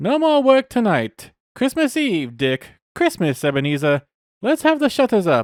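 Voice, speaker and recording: Using a put-on character voice, a high-pitched man talks at a moderate pace with very wide pitch swings on a very clean recording with a silent background. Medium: read story. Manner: jovial, hearty.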